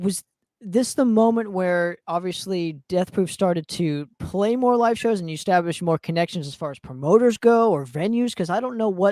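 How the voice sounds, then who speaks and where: A woman with an American accent speaks at a moderate pace, her pitch medium and her tone dark and mellow. Her intonation is lively, and she hardly pauses at all. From Southern California. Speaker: podcast host. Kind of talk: casual interview chat.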